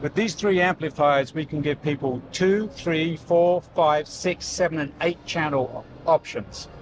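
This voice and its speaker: A man speaks at a moderate pace with a fairly high pitch. Background noise is noticeable. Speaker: audio company representative. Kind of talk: trade show booth tour. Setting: trade show booth. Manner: enthusiastic, some hesitations.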